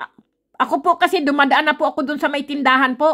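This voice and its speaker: This woman's high-pitched voice moves at a fairly quick pace. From Philippines. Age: 50s. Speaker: vlogger. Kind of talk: casual vlog monologue. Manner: animated.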